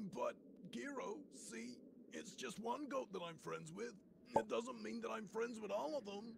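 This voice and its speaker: A man performs a put-on character voice at a moderate pace. Clear background noise can be heard. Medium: fan dub. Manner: hesitant, awkward.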